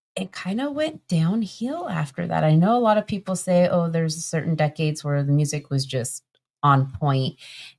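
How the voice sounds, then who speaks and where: Fairly low in pitch, a woman speaks in an ordinary speaking voice. Her intonation is lively and her pace fairly slow. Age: 40s. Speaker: podcast co-host. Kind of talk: casual chat.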